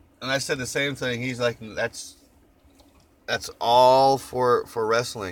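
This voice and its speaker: A man with a slight Oklahoma accent and a relaxed tone at a fairly slow pace, in a very clean recording with a silent background. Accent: Oklahoma twang, slight. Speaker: vlogger. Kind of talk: casual chat. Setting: in a van. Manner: relaxed, rambling with fillers.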